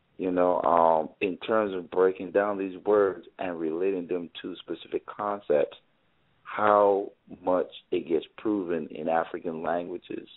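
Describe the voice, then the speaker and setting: Very deep and low in pitch, a man speaks at a fairly slow pace in a flat, monotone intonation. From Caribbean island. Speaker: author. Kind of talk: interview. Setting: live broadcast.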